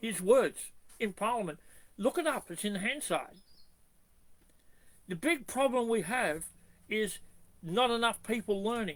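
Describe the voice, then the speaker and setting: Speaking with long, frequent pauses, a man with an Australian accent has a high pitch. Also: lively intonation, fairly slow pace. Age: 70s. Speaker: constitutional activist. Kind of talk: video monologue.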